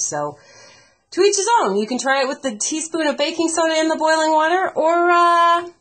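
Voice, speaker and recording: The background is quiet. A woman speaks at a fairly quick pace. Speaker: radio personality; home video creator. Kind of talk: casual talk to camera. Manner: friendly, conversational. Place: kitchen. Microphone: webcam.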